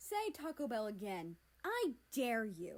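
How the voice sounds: Slowly, a woman performs a put-on character voice at a fairly high pitch with very wide pitch swings.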